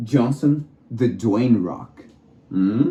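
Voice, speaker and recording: With a non-native accent, a man speaks at a medium pitch in a somewhat breathy, dark, mellow tone with ordinary pitch variation. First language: not English. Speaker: vlogger. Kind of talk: casual monologue. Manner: halting.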